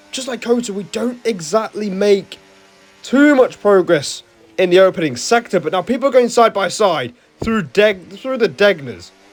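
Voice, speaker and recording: Against noticeable background noise, a man speaks at a moderate pace in a high pitch with an animated tone and lively intonation. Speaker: sim racing YouTuber. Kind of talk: race commentary over gameplay.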